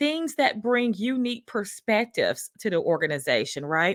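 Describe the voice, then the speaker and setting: A woman with a Southern US accent and very wide pitch swings. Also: dry, close sound with no echo, very clean recording, silent background. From US South. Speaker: workplace culture consultant, show host. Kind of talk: livestream talk. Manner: casual, many fillers.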